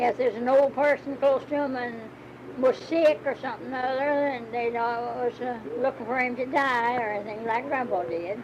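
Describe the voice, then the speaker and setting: Over noticeable background noise, a woman speaks in a high pitch with ordinary pitch variation. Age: 80s+. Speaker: grandmother recalling rural life. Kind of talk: interview answer, reminiscing about old ways of life.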